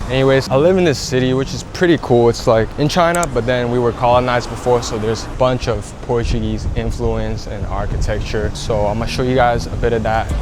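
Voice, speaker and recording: A man speaks at a fairly quick pace with hardly any pauses, medium pitch and ordinary pitch variation. Noticeable background noise and audible room echo fill the recording. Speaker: beginner vlogger. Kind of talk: casual vlog. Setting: outdoors in a city. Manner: stutters at times; quiet, not loud.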